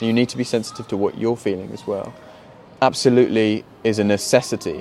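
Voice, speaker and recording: Music plays in the background as a man speaks at a moderate pace. His pitch is fairly low, and his intonation is monotone and flat. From England, countryside. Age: 20s. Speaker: poet and filmmaker. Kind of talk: casual interview. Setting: outdoors in a park.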